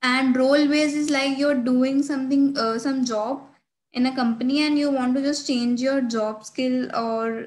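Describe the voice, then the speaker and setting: In an Indian accent, a woman with a high pitch speaks at a fairly slow pace with fairly even intonation. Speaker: student tech ambassador. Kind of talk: screen-share tutorial. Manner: hesitant, frequent fillers. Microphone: webcam.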